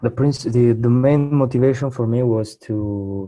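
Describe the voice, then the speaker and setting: An Italian accent with fairly even intonation, over music in the background. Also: man. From southern Italy, Trani. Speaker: English student, young professional. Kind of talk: interview. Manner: halting.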